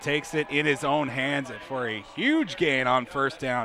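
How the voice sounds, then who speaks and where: Noticeable background noise sits behind a man whose fairly high voice keeps fairly even intonation. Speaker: color commentator. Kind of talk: football color commentary, analysing plays.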